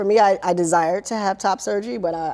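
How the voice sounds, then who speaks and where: With a dark, mellow tone, a woman speaks in lively intonation. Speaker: podcast co-host. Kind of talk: casual chat.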